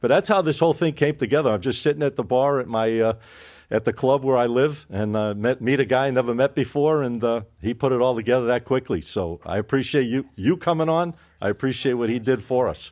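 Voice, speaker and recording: Against a quiet background, a man with an American accent and an ordinary speaking voice talks at a fairly quick pace, medium pitch and ordinary pitch variation. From Boston, US. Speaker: podcast host. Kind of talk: casual interview.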